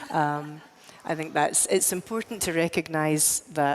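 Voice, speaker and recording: With a Scottish accent, a woman speaks at a moderate pace, her pitch fairly low and her intonation fairly even. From Scotland. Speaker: tech executive, panel speaker. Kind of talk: panel discussion. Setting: stage with audience.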